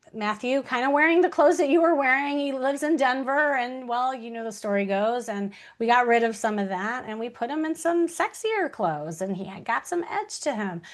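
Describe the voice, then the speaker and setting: A woman with an American accent, high-pitched, at a fairly quick pace with very wide pitch swings and hardly any pauses. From Chicago. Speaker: dating coach. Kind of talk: live online workshop.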